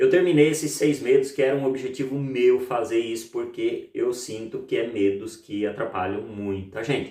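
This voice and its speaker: This man speaks at a moderate pace with hardly any pauses. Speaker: EFT therapist and YouTuber. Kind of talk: self-help tutorial. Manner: playful, upbeat today.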